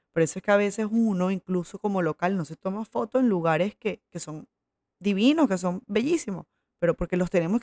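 In a Venezuelan accent, a woman speaks at a fairly quick pace and medium pitch with a dark, mellow tone. Her pitch varies in an ordinary way, and the sound is dry and close with no echo. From Venezuela, Coro (Falcón). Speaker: podcast host. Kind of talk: casual monologue. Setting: at her mother's house.

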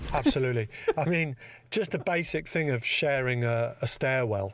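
In a London accent, a man speaks with lively intonation and very even loudness. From London, England. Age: 50s. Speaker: conceptual artist. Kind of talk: casual chat.

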